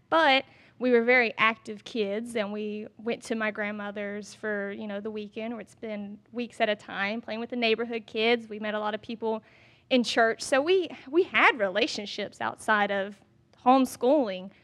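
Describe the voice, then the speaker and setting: A woman talks in a Southern US accent at a fairly high pitch and moderate pace. Her intonation stays fairly even while her loudness swings widely. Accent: Southern American. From US South, Georgia (Statesboro). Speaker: fitness influencer. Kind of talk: casual interview. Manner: talkative.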